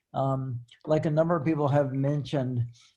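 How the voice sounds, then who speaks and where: At a moderate pace, a man speaks in a somewhat breathy, dark, mellow tone at medium pitch with fairly even intonation. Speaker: retired professor and author living in a retirement community. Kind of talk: casual panel talk. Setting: video call. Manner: halting with repetitions.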